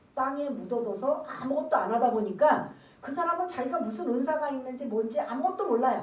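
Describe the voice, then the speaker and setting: Fairly quick, lively speech from a high-pitched woman, with noticeable background noise and audible room echo. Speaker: pastor. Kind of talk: sermon.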